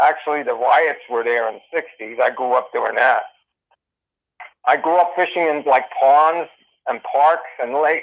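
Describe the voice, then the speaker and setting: Speaking at a moderate pace with long, frequent pauses, a man uses a fairly high pitch and ordinary pitch variation. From northern New Jersey. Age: 60s. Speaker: angler. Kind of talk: interview. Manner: halting, many fillers.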